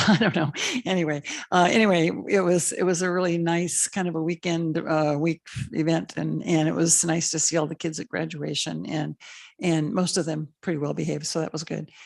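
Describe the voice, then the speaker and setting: A woman's very deep, low voice with vocal fry, a moderate pace and fairly even intonation. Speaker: school board trustee. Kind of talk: public meeting remarks.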